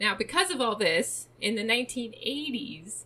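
A woman has an unremarkable speaking voice with a fairly high pitch. Her intonation is lively. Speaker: true crime podcast host. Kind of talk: casual chat, storytelling of a true crime case.

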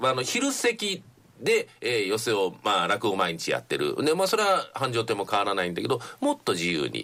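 Moderate pace from a man, background music playing. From Nagoya, Japan. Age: 60s. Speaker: radio announcer and comedy theatre manager. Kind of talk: radio interview. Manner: polite, fluent.

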